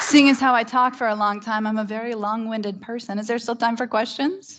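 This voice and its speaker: With a Canadian accent, a woman uses a normal speaking voice at a fairly quick pace, fairly high in pitch and with fairly even intonation. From Canada, Ontario (Algonquin territory). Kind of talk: conference keynote and Q&A.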